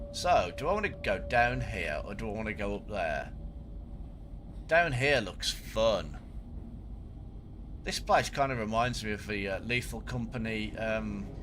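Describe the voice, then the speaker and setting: Audible room echo surrounds a man's voice. He talks at a fairly slow pace with long, frequent pauses. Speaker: gaming streamer. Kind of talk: live gameplay commentary.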